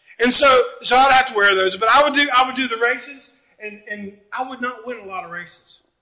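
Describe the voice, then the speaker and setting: Audible room echo surrounds a man whose pitch is extremely high, with ordinary variation. He speaks at a fairly quick pace. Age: 40s. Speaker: pastor. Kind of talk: sermon. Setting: church.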